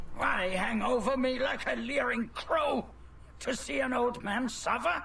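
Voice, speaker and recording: Over clear background noise, a man puts on a character voice at an extremely high pitch. His pace is fairly slow. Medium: short film. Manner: scornful.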